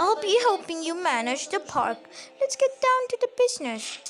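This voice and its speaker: Using a put-on character voice, a woman talks at a moderate pace with an extremely high pitch and very wide pitch swings. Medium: game stream. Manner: brisk, businesslike.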